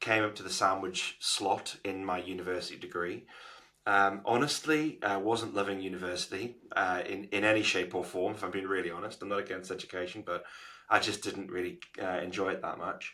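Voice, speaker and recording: Fairly quick and fairly even in intonation, a man's bright, sharp voice sits at a fairly low pitch. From northern England, Newcastle. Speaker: agency founder. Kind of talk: podcast interview.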